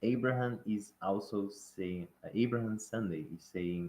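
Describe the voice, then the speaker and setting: A man speaks at a very slow pace in a fairly low pitch, with ordinary pitch variation and a Brazilian accent. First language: Portuguese. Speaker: online course teacher. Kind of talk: online class lecture. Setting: YouTube live stream. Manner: halting, repetitive.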